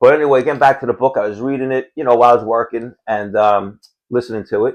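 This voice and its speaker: Talking at a very fast pace, a man with a New York accent uses ordinary pitch variation against a quiet background. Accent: Queens New York. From New York City (Howard Beach, Queens). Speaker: podcast co-host. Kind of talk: casual chat.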